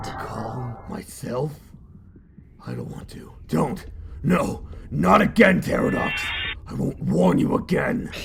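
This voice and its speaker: A man puts on a growling, cartoonish character voice at a medium pitch, moving at a fairly slow pace with long, frequent pauses. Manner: gruff, impatient.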